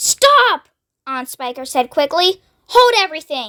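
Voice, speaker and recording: A woman uses a loud, put-on character voice at an extremely high pitch, with very wide pitch swings. She goes at a fairly slow pace, and the sound is dry and close with no echo. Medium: read story. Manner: sharp, snapping, loud.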